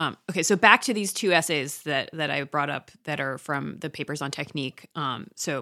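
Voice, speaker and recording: Speaking at a fairly quick pace with lively intonation, a woman is heard on a very clean recording with a silent background. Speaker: podcast co-host and teacher. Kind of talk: casual discussion.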